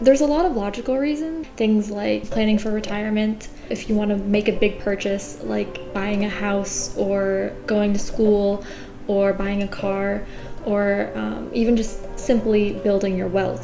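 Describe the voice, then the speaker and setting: A woman speaks in a relaxed tone at a moderate pace. The room echo is audible and the background noise is noticeable. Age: 20s. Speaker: YouTuber, software engineer. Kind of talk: casual vlog talk to camera. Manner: relaxed, conversational.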